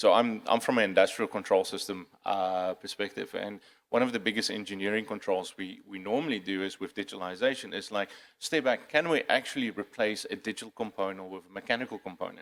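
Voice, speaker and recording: A man talks at a very fast pace with a non-native accent. His pitch sits fairly low. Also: ordinary pitch variation. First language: not English. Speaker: cybersecurity panelist. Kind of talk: conference panel discussion. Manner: halting, many fillers and repeats.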